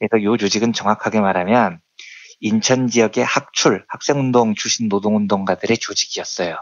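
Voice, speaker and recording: A man speaks in a plain, everyday voice at a fairly low pitch. His pace is moderate and his intonation fairly even. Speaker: economics journalist. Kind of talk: radio-style commentary segment. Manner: solemn, mournful.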